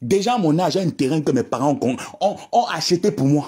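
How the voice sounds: A woman's low voice carries lively intonation and a slightly mellow tone with a husky, rough edge.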